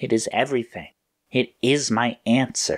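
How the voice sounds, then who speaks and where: A man performs a put-on character voice. His pitch is medium. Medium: read story.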